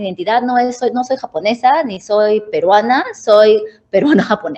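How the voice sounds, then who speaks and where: Speaking at a moderate pace, a woman uses lively intonation and a fairly high pitch. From Peru. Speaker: tech design manager, panelist. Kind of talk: panel discussion.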